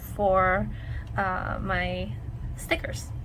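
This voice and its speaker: A woman's voice with audible room echo. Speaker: sticker designer and craft YouTuber. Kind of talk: tutorial. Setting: home desk by a window. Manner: casual, many fillers.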